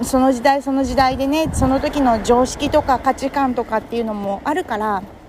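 The voice has a relaxed tone and fairly even intonation over noticeable background noise. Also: woman. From Kurume, Fukuoka, Japan. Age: 30s. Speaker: podcaster and entrepreneur. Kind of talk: casual solo monologue. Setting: walking outdoors in Tokyo. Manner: relaxed, conversational with many fillers.

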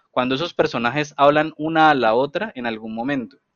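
Using an ordinary speaking voice, a man speaks fairly quickly, his pitch moving in a normal way. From Colombia (Cali, Agua Blanca). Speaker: podcast co-host. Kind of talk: casual discussion.

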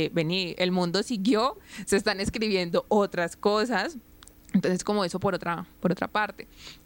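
A plain, everyday voice from a woman, medium in pitch, at a moderate pace. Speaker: podcast co-host. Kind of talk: casual chat.

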